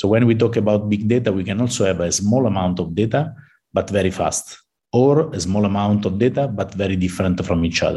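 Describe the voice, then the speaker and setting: Dark and mellow in tone, a man's voice sits fairly low in pitch. He moves at a fairly quick pace with ordinary pitch variation. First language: Italian. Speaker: computer science professor. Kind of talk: interview. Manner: halting.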